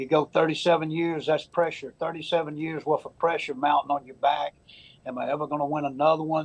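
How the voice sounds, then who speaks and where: This man has a fairly high pitch and a Southern US accent, speaking at a fairly quick pace. His intonation is monotone and flat, while his loudness swings a lot. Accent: Southern US (Georgia). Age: 70s. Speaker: high school baseball coach. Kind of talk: TV interview. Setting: TV studio.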